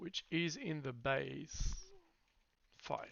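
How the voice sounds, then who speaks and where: A man speaks with a slight French accent. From France. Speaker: software developer live streamer. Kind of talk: live coding stream. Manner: halting.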